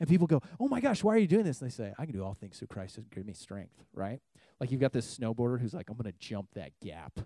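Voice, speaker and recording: A dark, mellow voice with vocal fry races along at a very fast pace with very wide pitch swings. The sound is dry with no echo, and the background is quiet. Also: man. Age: 30s. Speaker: youth pastor. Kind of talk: sermon. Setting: church youth service with audience. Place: church. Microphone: handheld.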